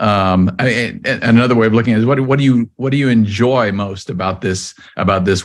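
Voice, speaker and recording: This man has a fairly low pitch and ordinary pitch variation, moving at a fairly quick pace. It is a normal speaking voice. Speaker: podcast host. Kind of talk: interview.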